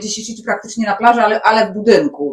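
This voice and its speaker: The speaker is a woman with a fairly high voice. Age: 40s. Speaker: podcast co-host. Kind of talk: casual chat.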